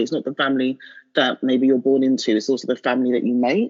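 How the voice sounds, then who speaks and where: A woman speaks in a London accent. Her pitch is very deep and low. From London, England. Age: 30s. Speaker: marketing professional and blogger. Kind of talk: interview conversation.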